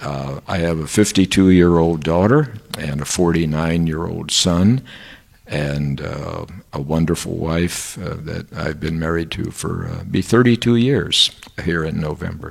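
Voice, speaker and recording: A man with an American accent speaks at a fairly slow pace, his pitch very deep and low with ordinary variation. Noticeable background noise runs behind him. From United States. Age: 70s. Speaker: professor. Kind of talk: interview. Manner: halting, many filler words.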